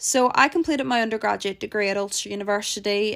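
Speaking at a fairly quick pace in a Northern Irish accent, a woman with fairly high pitch uses lively intonation, recorded very cleanly over a silent background. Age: 20s. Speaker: podcast host, PhD student. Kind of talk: casual solo podcast chat. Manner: animated, laughing often.

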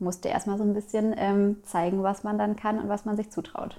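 A woman speaks at a moderate pace. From Germany, East Westphalia (Minden area). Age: 20s. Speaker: midwife. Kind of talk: casual interview. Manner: hesitant with many fillers.

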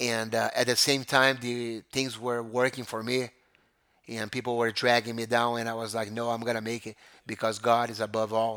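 A man with a Brazilian accent speaks at a moderate pace in a bright, sharp tone, his medium pitch monotone and flat, in a very clean recording with a silent background. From Rio de Janeiro, Brazil. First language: Portuguese. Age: 40s. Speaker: jiu-jitsu school owner. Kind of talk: casual interview. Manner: halting, with fillers.

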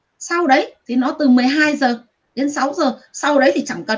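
A woman speaks in a high voice with lively intonation. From Vietnam. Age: 40s. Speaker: guest telling personal ghost experience. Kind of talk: testimony.

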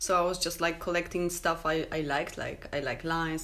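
A woman with a Polish accent speaks at a fairly low pitch, her intonation fairly even. Room echo is audible. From Poland. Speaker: tattoo artist. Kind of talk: casual chat.

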